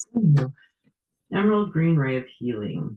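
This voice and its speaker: A man speaks quietly at a fairly slow pace. His voice is somewhat breathy. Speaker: tarot reader. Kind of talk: casual talk to camera.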